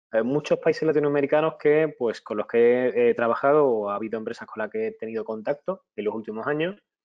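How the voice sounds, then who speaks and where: Moving at a fairly quick clip, a man talks with ordinary pitch variation. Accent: Spanish. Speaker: webinar presenter, IT auditor and consultant. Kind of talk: webinar lecture. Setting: online webinar. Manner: halting, many fillers and restarts.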